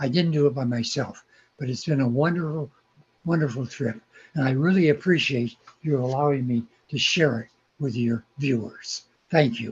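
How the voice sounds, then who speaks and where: A man with an American accent speaks at a moderate pace and a fairly high pitch, his voice somewhat breathy and broken by long, frequent pauses. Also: ordinary pitch variation. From California. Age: 80s+. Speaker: magazine founder and model railroader. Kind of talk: interview.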